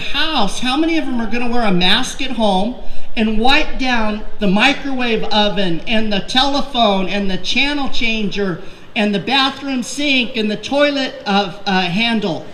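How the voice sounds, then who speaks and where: A woman speaks fairly slowly in a fairly high, animated voice with ordinary pitch variation. Audible room echo and noticeable background noise are present. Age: 60s. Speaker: political candidate. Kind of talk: rally speech.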